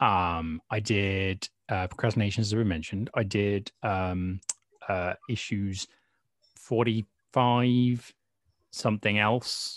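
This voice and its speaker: A man with a British accent talks at a very slow pace in a fairly low pitch. The sound is dry and close with no echo, and the background is quiet. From Britain. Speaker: fanzine contributor. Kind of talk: casual interview.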